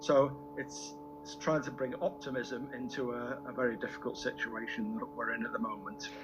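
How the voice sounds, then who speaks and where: Music plays in the background while a man keeps a moderate pace. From Warrington, England. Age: 70s. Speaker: cancer survivor and charity fundraiser, amateur songwriter. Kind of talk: radio interview answer.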